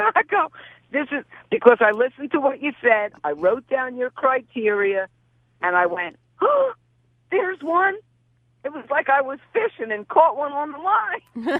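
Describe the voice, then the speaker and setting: A woman's high voice makes very wide pitch swings at a moderate pace, with long, frequent pauses. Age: 60s. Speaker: real estate investor, student of the host. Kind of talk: casual chat. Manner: animated.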